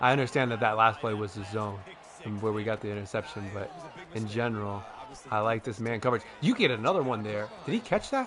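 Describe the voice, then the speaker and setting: A man in an animated tone at a fairly quick pace, with music in the background. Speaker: gaming video creator. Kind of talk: gameplay commentary. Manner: loud.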